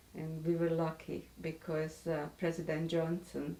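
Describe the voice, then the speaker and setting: A woman with a Hungarian accent at a fairly slow pace. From Hungary, Budapest. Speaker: author and Holocaust survivor. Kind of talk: interview testimony. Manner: halting, with self-corrections.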